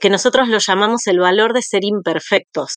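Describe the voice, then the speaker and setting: A woman with an ordinary speaking voice talks at a moderate pace, medium in pitch with ordinary pitch variation. The sound is dry and close with no echo, over a quiet background. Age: 40s. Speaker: school principal and early-education teacher. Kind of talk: interview.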